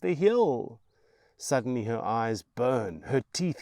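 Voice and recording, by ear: Someone reading aloud in a natural voice, the intonation lively throughout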